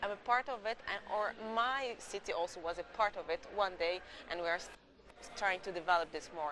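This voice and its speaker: A woman with an Egyptian accent, medium pitch with ordinary variation, and a moderate pace, with noticeable background noise. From Egypt, Alexandria. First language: Arabic. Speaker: Greek culture promoter, interviewee. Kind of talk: TV interview. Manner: halting, repeats words.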